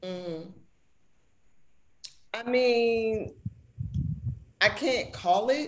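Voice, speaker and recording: A woman with an American accent speaks at a fairly high pitch with ordinary pitch variation, and audible room echo surrounds her. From Oakland, California. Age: 50s. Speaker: music journalist. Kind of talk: interview. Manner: animated.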